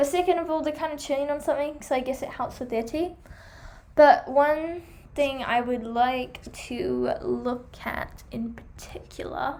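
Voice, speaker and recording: A woman speaks in a high pitch at a fairly slow pace. Her pitch varies in an ordinary way, and there is audible room echo. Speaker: hamster care vlogger. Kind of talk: product review vlog.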